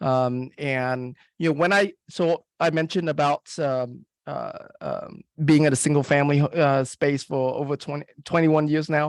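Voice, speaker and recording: A man with a fairly high pitch talks at a moderate pace with fairly even intonation, the sound dry and close with no echo. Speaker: real estate investor and marketing expert. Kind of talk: webinar presentation. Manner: halting, many fillers.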